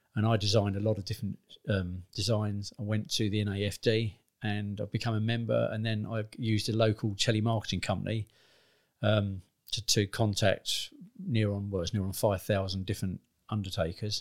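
In a very clean recording with a silent background, a man talks at a fairly quick pace with a southern English accent. His fairly low voice keeps a monotone, flat intonation. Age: 50s. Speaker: business owner. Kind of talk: interview.

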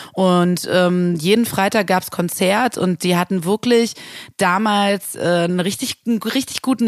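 A woman talks at medium pitch with ordinary pitch variation. The sound is dry and close, with no echo. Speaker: music booker and singer. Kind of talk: interview.

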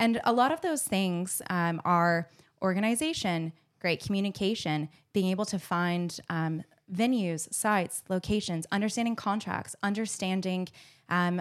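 On a very clean recording with a silent background, a woman speaks with an American accent. Her medium-pitched voice moves at a moderate pace with ordinary pitch variation. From Arizona, US. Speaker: event producer. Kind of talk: casual chat. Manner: animated.

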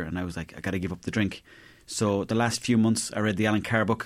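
In an Irish accent, a man speaks at a very fast pace and a medium pitch in a very clean recording with a silent background. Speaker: comedian. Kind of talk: casual chat.

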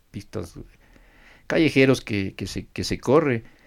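This is a man speaking. The recording is very clean, with a silent background. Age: 40s. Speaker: racing driver. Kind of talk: interview.

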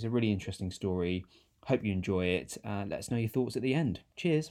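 Against a quiet background, a man races along very fast. His pitch moves in an ordinary way. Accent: British. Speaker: podcast host. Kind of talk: interview.

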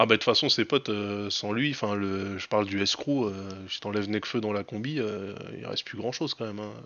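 Fairly even intonation and a fairly quick pace come from an ordinary speaking voice. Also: man, fairly low pitch for a man. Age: 40s. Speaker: podcast host. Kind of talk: casual chat. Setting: livestream with chat.

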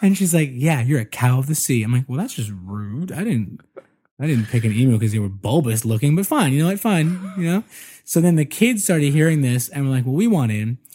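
Speaking in an American accent, a man uses a dark, mellow, somewhat breathy tone with very wide pitch swings. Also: fairly high pitch for a man, fairly quick pace. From US Northeast. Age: 30s. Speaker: podcaster. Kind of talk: casual chat. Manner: loose, relaxed.

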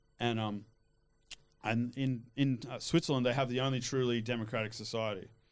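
Fairly quick and even in intonation, a man speaks with an Australian accent. His pitch is medium. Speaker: cannabis activist. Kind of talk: casual chat.

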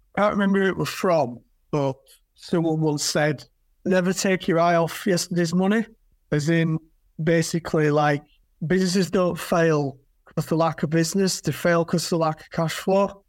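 A man with a Yorkshire accent speaks at a moderate pace and a high pitch, with fairly even intonation. The recording is very clean, with a silent background. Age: 40s. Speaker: flooring retailer. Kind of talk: casual chat.

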